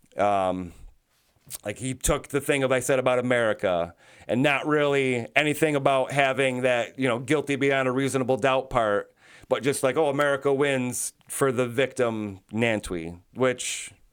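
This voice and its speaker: On a very clean recording with a silent background, a man talks at a moderate pace with ordinary pitch variation. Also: medium pitch for a man. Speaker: podcaster, former juror. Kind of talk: casual monologue. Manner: animated.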